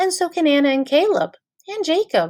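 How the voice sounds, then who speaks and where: This is a put-on character voice, squeaky in sound. Its tone is warm. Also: woman. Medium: read story. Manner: warm, plain and direct.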